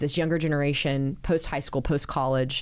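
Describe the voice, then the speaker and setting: A woman with a Texan accent and a very deep, low pitch speaks at a fairly quick pace with ordinary pitch variation, in a very clean recording with a silent background. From Central Texas (small town). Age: 40s. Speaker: city mayor. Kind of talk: podcast interview.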